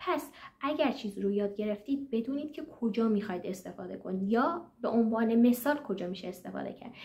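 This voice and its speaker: Amid noticeable background noise, a woman with a fairly high voice talks at a fairly quick pace with lively intonation. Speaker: German language teacher and exam consultant. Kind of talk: tutorial. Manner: hesitant, frequent fillers.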